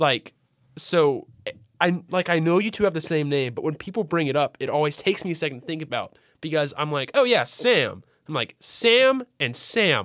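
A man with an American accent speaks at a fairly high pitch in a fairly bright tone, his pitch swinging widely.

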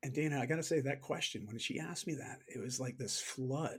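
A man at a medium pitch and moderate pace, somewhat breathy, with fairly even intonation. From Canada. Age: 40s. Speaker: fitness coach and author. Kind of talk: interview conversation. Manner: frequent repetitions and fillers.

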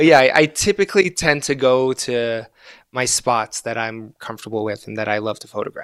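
A man with an American accent speaks at a moderate pace and medium pitch, in an ordinary speaking voice. His intonation is lively, his loudness swings widely, and the sound is dry and close with no echo. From Gaza, Palestine, then Egypt and Florida. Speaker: astrophotographer and artist. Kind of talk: casual interview chat.

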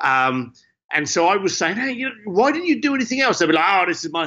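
With an East London accent, a man talks in very wide pitch swings. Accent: East London (Cockney-leaning) English. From East London, England. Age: 50s. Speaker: entrepreneur and author. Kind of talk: interview conversation. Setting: standing in his garage.

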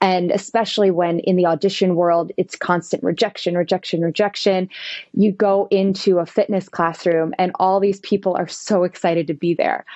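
An energetic woman's voice at medium pitch, with an American accent, very even loudness and a moderate pace. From western New Jersey, US. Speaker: performer and fitness instructor. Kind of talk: casual interview.

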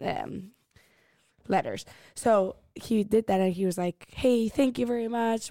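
With a Spanish accent, a woman speaks at a moderate pace in a fairly high, dark and mellow voice, her intonation fairly even and the sound dry and close with no echo. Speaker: guest friend. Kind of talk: casual chat.

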